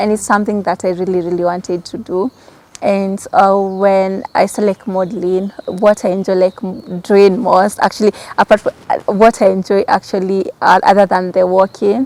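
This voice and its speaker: A woman talks at a moderate pace with medium pitch and monotone, flat intonation. The sound is dry and close with no echo. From Kenya, Kamba community. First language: Kikamba. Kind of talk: interview.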